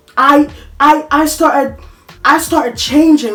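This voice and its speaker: With music behind her, a woman delivers her words fairly slowly. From Africa. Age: 20s. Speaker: vlogger. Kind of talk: personal monologue. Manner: halting.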